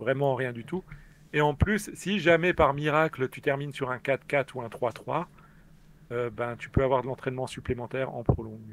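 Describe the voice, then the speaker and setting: Speaking at a moderate pace with an Alsatian accent, a man uses medium pitch with ordinary variation and big swings in loudness. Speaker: experienced online game player. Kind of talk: casual live stream chat. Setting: live online stream, remote call.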